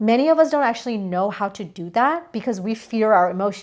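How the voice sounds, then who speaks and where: With a non-native accent, a woman talks fairly quickly at a fairly high pitch, in an animated tone with lively intonation, on a very clean recording with a silent background. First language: not English. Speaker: spiritual coach. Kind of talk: energy forecast talk to camera. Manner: casual, animated.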